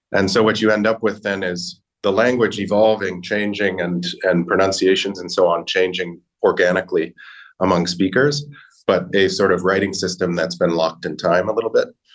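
A man's fairly low voice with an American accent, at a moderate pace and with fairly even intonation. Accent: American, rhotic. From US. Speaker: language learning company linguist. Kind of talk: interview.

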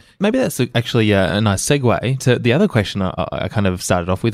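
On a very clean recording with a silent background, a man with an Australian accent talks at a very fast pace and a medium pitch with lively intonation. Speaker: podcast host, digital strategist. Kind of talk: interview conversation.

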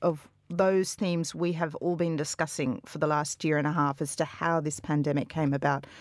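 In a very clean recording with a silent background, a woman speaks with an Australian accent. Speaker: journalist. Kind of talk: radio panel discussion.

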